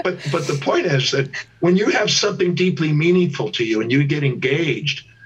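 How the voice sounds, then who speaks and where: Talking at a fairly quick pace, a man uses an ordinary speaking voice. His pitch is fairly high, with ordinary pitch variation. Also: very even loudness. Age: 60s. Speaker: teacher and life coach. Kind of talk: interview.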